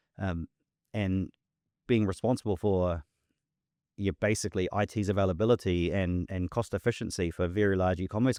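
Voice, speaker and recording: A man with a New Zealand accent talks at a fairly quick pace in a very deep, low voice with fairly even intonation. The sound is dry and close with no echo, on a very clean recording with a silent background. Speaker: tech company founder and CEO. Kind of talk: podcast interview. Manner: repetitive, hesitant with fillers.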